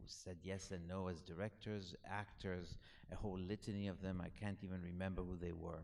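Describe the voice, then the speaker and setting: With a French accent, a man speaks in a very deep, low pitch with a dark, mellow tone. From Alexandria, Egypt. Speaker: author. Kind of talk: Q&A after a film screening. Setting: cinema with audience. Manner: halting, many fillers and restarts.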